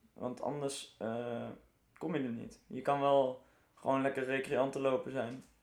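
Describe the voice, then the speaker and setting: At a fairly slow pace, a man with a plain, everyday voice speaks at a medium pitch with fairly even intonation. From Netherlands, Arnhem. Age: 20s. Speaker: survival run trainer and entrepreneur. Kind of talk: casual interview.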